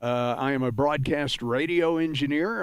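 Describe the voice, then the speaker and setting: The speech moves at a moderate pace with ordinary pitch variation, on a very clean recording with a silent background. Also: man. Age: 60s. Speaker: flight sim streamer. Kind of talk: livestream panel discussion. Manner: halting, many fillers.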